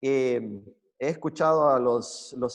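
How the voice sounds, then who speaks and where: A man with a Chilean accent and fairly even intonation. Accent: Chilean accent picked up. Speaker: preacher. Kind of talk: sermon. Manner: hesitant, many fillers and repetitions.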